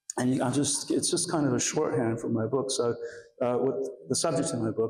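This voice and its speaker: A man talks at a fairly quick pace and medium pitch, with audible room echo around him. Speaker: architecture historian, author. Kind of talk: lecture. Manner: halting, many fillers.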